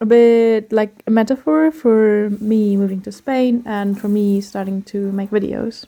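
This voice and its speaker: A woman speaks fairly slowly yet with hardly any pauses. Her dark, mellow voice is fairly high, with fairly even intonation. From Germany. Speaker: cooking vlogger. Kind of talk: scripted narration. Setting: home kitchen.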